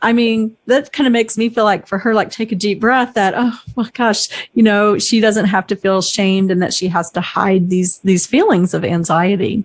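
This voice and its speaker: At a moderate pace and with hardly any pauses, a woman with a plain, everyday voice speaks in a medium pitch with ordinary pitch variation. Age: 50s. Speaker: podcast host on senior living. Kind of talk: casual interview chat. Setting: podcast recording.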